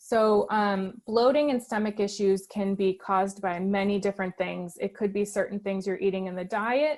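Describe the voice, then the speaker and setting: In a plain, everyday voice, the speaker goes at a moderate pace. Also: woman. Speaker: dietitian. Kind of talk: webinar Q&A.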